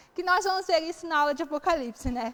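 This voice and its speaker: A woman speaks with lively intonation. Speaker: Bible teacher. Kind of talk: Bible study lecture.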